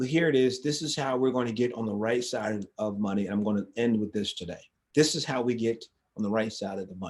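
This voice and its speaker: A man with a medium-pitched voice and ordinary pitch variation talks at a fairly quick clip. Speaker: financial education live streamer. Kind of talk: casual live talk. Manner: fast; repetitive, with frequent restarts.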